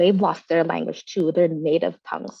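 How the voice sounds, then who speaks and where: A woman with a Vietnamese accent speaks with ordinary pitch variation. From Vietnamese household, US. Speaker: movement leader, panelist. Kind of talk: panel discussion. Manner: fast.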